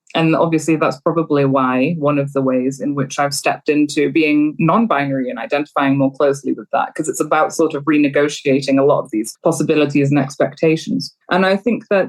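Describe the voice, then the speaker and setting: The speech comes at a fairly quick pace in a Welsh accent. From Wales. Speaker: university lecturer in gender studies. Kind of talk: podcast interview.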